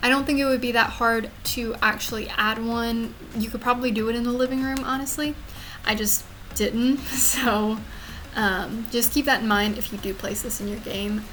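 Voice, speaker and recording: In an American accent, a woman speaks at a moderate pace with a fairly high pitch and fairly even intonation, with audible room echo. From US South, Louisiana. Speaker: gaming YouTuber. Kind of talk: voiceover commentary on a speed build. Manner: casual, with fillers.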